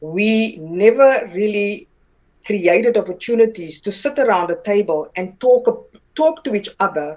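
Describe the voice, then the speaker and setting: A woman talks in a South African accent at a medium pitch. Her pace is fairly slow and her intonation lively. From South Africa, Northern Cape. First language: Afrikaans. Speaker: political party vice president and actress. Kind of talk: interview. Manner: halting, many repeated words.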